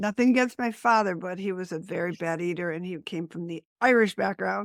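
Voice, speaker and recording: In a very clean recording with a silent background and a dry, close sound with no echo, a woman with an American accent speaks at a fairly quick pace and medium pitch, with ordinary pitch variation and big swings in loudness. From US Northeast (Buffalo, New York). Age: 60s. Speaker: green living business founder. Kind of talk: podcast interview.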